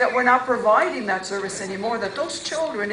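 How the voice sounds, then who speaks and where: A woman's fairly high voice moves with lively intonation, heard through audible room echo and noticeable background noise. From immigrant to Canada at age nine. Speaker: politician. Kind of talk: press conference remarks. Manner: impassioned.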